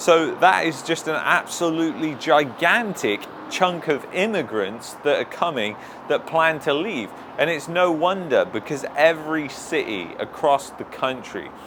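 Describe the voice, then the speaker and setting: A man talks in an animated tone with lively intonation and an English accent. Background noise is noticeable. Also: fairly slow pace. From England. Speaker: YouTube commentator. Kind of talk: opinion commentary.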